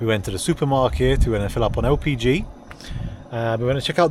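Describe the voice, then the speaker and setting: A man speaks at a very fast pace with medium pitch and ordinary pitch variation. Noticeable background noise is present. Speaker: van life vlogger. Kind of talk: travel vlog narration. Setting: outdoors.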